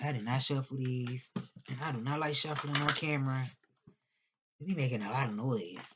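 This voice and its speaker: The speech moves at a moderate pace with ordinary pitch variation, broken up by long, frequent pauses. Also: woman, very deep, low pitch for a woman. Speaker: tarot reader. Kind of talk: tarot reading. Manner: stuttering; slurring.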